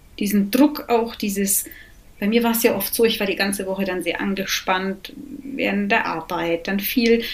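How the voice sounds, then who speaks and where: Against noticeable background noise, a woman talks at a moderate pace. Her pitch is medium, with ordinary pitch variation. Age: 40s. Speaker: recovering alcoholic, mother. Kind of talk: interview, personal testimony.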